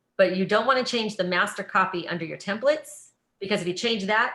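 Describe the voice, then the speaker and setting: A woman at medium pitch with a bright, sharp tone. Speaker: online party sales trainer. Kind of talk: tutorial. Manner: fast.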